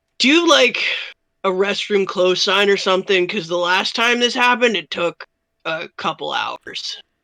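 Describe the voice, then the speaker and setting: At a moderate pace, a raspy, female-sounding put-on character voice speaks at medium pitch. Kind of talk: casual, dry, sarcastic. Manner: deadpan.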